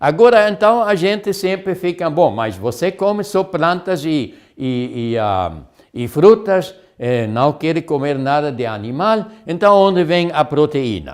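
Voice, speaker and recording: This man's voice sits fairly high and moves through very wide pitch swings. His pace is fairly slow. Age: 70s. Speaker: health lecturer. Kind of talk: lecture. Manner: halting.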